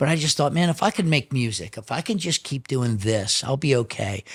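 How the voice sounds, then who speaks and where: A somewhat breathy man speaks fairly quickly at a medium pitch with lively intonation. The sound is dry and close with no echo, in a very clean recording with a silent background. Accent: American. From Chicago. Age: 60s. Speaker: drummer. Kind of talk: interview storytelling.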